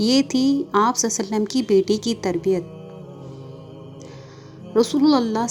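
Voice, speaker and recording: A woman talks over background music, her pitch varying in an ordinary way. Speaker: narrator. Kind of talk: religious story narration.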